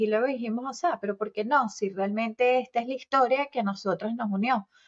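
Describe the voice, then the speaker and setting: Somewhat breathy, the woman's fairly high voice shows ordinary pitch variation. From Venezuela. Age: 40s. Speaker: podcast co-host. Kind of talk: casual chat.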